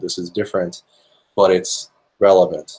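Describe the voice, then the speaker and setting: A man speaks at a moderate pace. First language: Finnish (bilingual with English). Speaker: musician and producer. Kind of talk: interview. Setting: video call. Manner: halting, many fillers.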